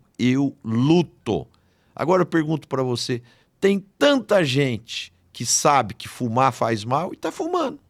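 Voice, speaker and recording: Very slow delivery with lively intonation. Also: man, fairly high pitch for a man. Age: 70s. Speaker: agribusiness executive and speaker. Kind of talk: podcast interview. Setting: studio.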